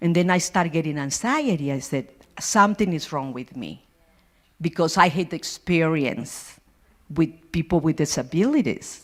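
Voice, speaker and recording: A woman's fairly low-pitched voice with a Spanish accent, lively intonation and a moderate pace, on a very clean recording with a silent background. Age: 60s. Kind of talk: personal testimony. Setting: church forum with audience, holding mic. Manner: halting.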